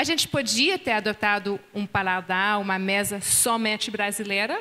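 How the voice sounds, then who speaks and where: A woman speaks in a French accent. She keeps a moderate pace. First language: French (speaking Portuguese). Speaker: pastor's wife, seminar speaker. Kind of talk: marriage seminar dialogue. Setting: conference with live and online audience.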